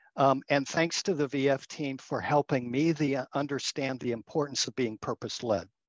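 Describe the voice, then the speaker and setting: This man has an unremarkable speaking voice at medium pitch with ordinary pitch variation and a moderate pace. The sound is dry and close with no echo, over a quiet background. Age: 60s. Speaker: communications agency partner, former foundation executive. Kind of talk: interview.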